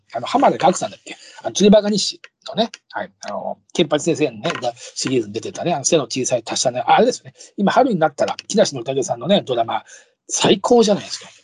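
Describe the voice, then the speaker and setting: With a dry, close sound and no echo, a high-pitched man talks very fast in an animated tone, making very wide pitch swings and big swings in loudness. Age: 50s. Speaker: podcast host, comedian and actor. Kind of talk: casual monologue.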